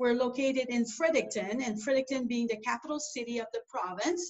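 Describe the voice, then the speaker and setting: A woman with a French accent at a high pitch and a fairly quick pace. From New Brunswick, Canada (Acadian). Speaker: airport executive. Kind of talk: interview. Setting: video call.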